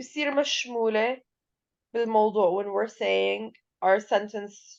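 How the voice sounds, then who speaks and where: Very slowly and with a strong non-native accent, a woman speaks at a fairly high pitch. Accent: heavy accent in English. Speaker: English teacher. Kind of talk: lecture. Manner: code-switching between Arabic and English.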